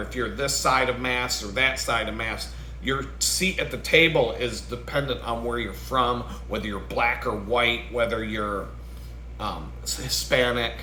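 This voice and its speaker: The speaker has an American accent, and the recording carries audible room echo and noticeable background noise. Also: man, moderate pace. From New York State. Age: 40s. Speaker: vlogger. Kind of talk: casual rant.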